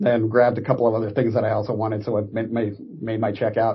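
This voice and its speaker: This man has an American accent and a somewhat breathy voice. He talks at a fairly quick pace. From US West Coast (Orange County, California). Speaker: Navy veteran. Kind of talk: interview.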